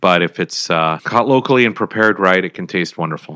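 Recorded very cleanly against a silent background with a dry, close sound and no echo, a man with an American accent speaks at a very fast pace in a bright, sharp tone. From Minnesota. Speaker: novelist. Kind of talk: interview.

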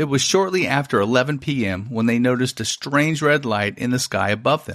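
An unremarkable speaking voice moves at a fairly quick pace with lively intonation. The recording is very clean, with a silent background. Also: man. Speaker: podcast host. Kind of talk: true-crime style narration of a UFO incident. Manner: measured, storytelling, suspenseful.

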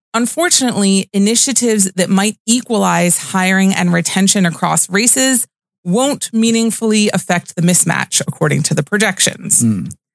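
A plain, everyday voice talks at a moderate pace with hardly any pauses, ordinary pitch variation and very even loudness, the sound dry and close with no echo. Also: woman, medium pitch for a woman. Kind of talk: casual chat. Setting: studio.

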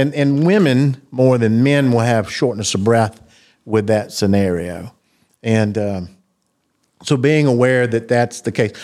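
A man with a Southern US accent at a fairly slow pace and medium pitch, with ordinary pitch variation, a dark, mellow tone, very even loudness and a very clean recording with a silent background. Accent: Southern US (Georgia). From US South, South Georgia. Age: 50s. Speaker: cardiologist. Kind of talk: interview.

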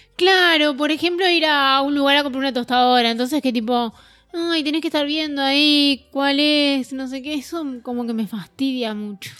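A woman speaks at a moderate pace in a Uruguayan accent. Her bright, sharp tone sits high in pitch, with ordinary pitch variation. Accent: Uruguayan Rioplatense Spanish. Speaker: podcast co-host. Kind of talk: casual chat.

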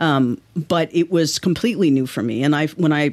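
This voice has an American accent. Its pitch variation is ordinary. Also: woman. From New York City (Manhattan). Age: 50s. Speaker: novelist. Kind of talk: interview. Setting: office.

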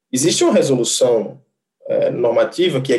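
Lively intonation from a man, dark and mellow in tone and somewhat breathy. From Brazil, Rio Grande do Norte. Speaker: electrical engineer, energy sales manager. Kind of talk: interview.

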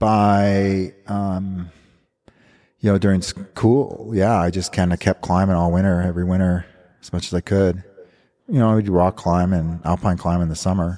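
A very deep, low-pitched man's voice with an American accent, dark and mellow in tone, monotone and flat, at a moderate pace on a very clean recording with a silent background. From Montana, US. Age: 50s. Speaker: ice climber and guidebook author. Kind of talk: casual interview chat. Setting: in-person sit-down interview at a festival. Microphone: slight echo in the recording.

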